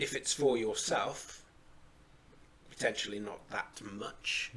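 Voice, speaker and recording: A man puts on a raspy character voice at medium pitch. He talks at a fairly slow pace. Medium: actual play. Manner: measured, dry.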